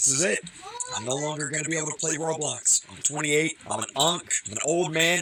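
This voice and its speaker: Over noticeable background noise, a man talks at a fairly quick pace in a fairly high pitch. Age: 20s. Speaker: YouTuber commentator. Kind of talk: casual commentary. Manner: animated.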